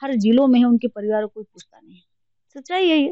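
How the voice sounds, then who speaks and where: Her intonation lively, a woman is speaking. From Uttar Pradesh, Banda district. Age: 30s. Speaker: politician. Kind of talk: interview. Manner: animated.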